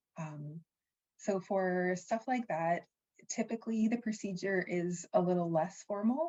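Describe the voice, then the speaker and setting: Medium pitch from a woman, dark and mellow in tone, somewhat breathy, with ordinary pitch variation. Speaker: sport law presenter. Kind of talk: webinar presentation.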